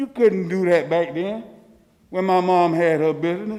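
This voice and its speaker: At a moderate pace, a man with a Florida accent speaks in a high pitch. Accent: Southern US (Florida). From US South, Leesburg, Florida. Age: 60s. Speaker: resident speaking at public comment. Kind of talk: public comment at city meeting. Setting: city commission meeting, at a microphone.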